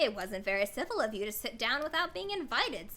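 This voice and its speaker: A woman's put-on character voice at a fairly high pitch and a very fast pace. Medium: virtual streamer.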